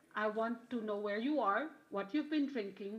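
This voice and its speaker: Noticeable background noise beneath a woman's fairly high voice, moving at a moderate pace. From Philippines. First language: not English. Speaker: conference panelist. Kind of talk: panel discussion.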